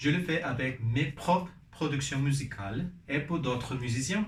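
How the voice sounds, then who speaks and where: In a Spanish accent, a man speaks at a medium pitch with ordinary pitch variation, and audible room echo surrounds his voice. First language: Spanish (speaking French). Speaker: vlogger and musician. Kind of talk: personal vlog in a learned language. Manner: halting, with fillers and restarts.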